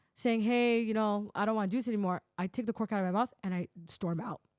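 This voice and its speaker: With a Toronto accent, a woman talks very fast in a fairly high, animated voice, recorded with a dry, close sound and no echo. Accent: Canadian English, Toronto. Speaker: podcaster. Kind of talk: casual chat.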